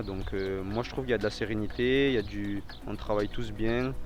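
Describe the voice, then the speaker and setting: Music runs in the background as a man talks. His pace is moderate and his pitch fairly low. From France, Toulouse area. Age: 20s. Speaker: professional footballer. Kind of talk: interview. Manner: hesitant, many repetitions.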